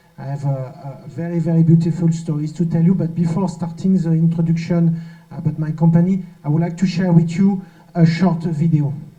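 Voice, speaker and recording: A man with a French accent talks at a fairly quick pace in a high pitch. His intonation is monotone and flat, with audible room echo. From France. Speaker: company representative. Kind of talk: conference presentation.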